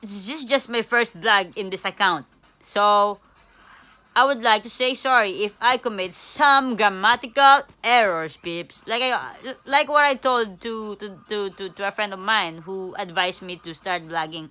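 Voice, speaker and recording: With a non-native accent, the speaker talks fairly slowly with lively intonation while music plays in the background. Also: woman. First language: not English. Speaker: vlogger. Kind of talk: casual vlog monologue. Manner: halting, many fillers and repetitions.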